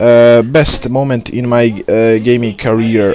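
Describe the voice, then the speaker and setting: There is noticeable background noise as a man speaks with a Bosnian accent. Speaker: gaming YouTuber. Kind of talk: video intro monologue. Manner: halting, many fillers.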